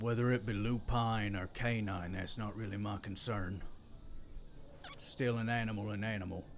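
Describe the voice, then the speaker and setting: Over clear background noise, a put-on character voice speaks at a moderate pace with monotone, flat intonation. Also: man, fairly low pitch for a man. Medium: actual play. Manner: gruff, rude, folksy ungrammatical.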